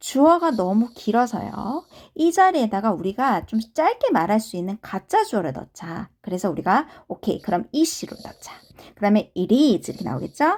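At a moderate pace, a woman talks in a fairly high pitch that swings very widely. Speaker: English conversation teacher. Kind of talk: lecture.

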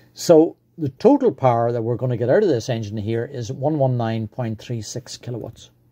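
A man speaks in a dark, mellow tone that is somewhat breathy, with hardly any pauses. The background is quiet. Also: ordinary pitch variation, moderate pace. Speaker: engine enthusiast video maker. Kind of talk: technical explainer tutorial.

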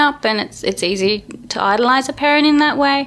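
A woman's high voice with an Australian accent and lively intonation. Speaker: performance artist. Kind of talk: interview.

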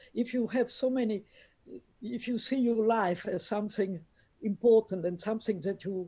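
Over a quiet background, a woman with a dark, mellow tone and a somewhat breathy quality speaks at a fairly high pitch and moderate pace, with ordinary pitch variation. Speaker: relative of a saint; guest. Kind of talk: conversational interview. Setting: video call. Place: home room. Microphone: video call.

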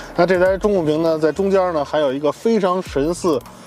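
A man talks at a moderate pace. Faint music sits behind the dry, echo-free sound. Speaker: car reviewer. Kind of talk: car review commentary. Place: car.

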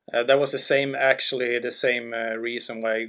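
Against a quiet background, a man with a Swedish accent speaks in a monotone, flat intonation. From Sweden, Karlstad, Värmland. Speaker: former hockey pro and entrepreneur. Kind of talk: interview. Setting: studio. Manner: halting. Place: meeting room. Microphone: studio mic.

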